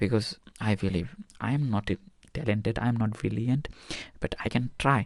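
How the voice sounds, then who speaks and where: A man with a non-native accent, medium pitch, ordinary pitch variation, very even loudness, a moderate pace, and long, frequent pauses. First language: not English. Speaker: medical student vlogger. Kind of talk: personal vlog monologue. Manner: halting.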